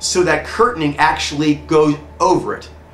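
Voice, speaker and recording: Fairly quick speech from a man amid noticeable background noise and audible echo from the room. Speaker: personality coach. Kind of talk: lecture. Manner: fast.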